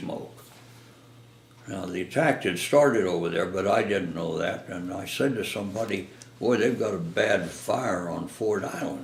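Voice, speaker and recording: A man with a fairly low voice speaks at a fairly slow pace with ordinary pitch variation amid noticeable background noise. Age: 80s+. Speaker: war veteran. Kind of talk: interview answer.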